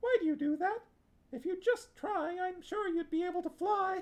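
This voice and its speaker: A put-on character voice at a moderate pace. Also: man. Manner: haughty, superior.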